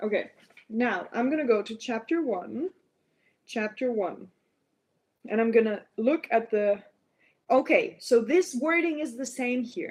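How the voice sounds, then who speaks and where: A woman's high, lively voice at a fairly slow pace, with long, frequent pauses and a non-native accent. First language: not English. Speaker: biologist livestreamer. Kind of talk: live stream reading with commentary. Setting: live stream at laptop. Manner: halting, many fillers.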